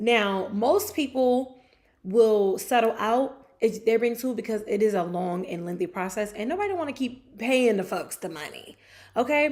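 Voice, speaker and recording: An animated woman's voice, fairly high in pitch, with lively intonation at a moderate pace. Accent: American. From New Jersey. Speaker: sports show host. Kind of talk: casual chat. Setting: livestream on camera.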